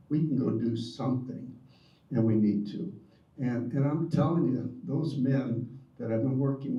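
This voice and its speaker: A man at medium pitch with lively intonation and a fairly slow pace, amid audible room echo and noticeable background noise. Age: 70s. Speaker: retired prison volunteer. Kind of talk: audience comment.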